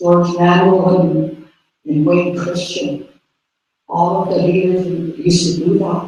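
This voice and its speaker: A man's high-pitched voice, dark and mellow, with flat monotone intonation, a very slow pace, long frequent pauses and audible room echo. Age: 60s. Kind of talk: public meeting speech.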